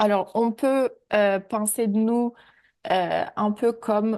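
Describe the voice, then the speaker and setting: A woman with a non-native accent has a fairly high pitch and a dark, mellow tone. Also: quiet background. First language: not French (speaking French). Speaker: AI ethics researcher. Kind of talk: webinar presentation. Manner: hesitant, many fillers.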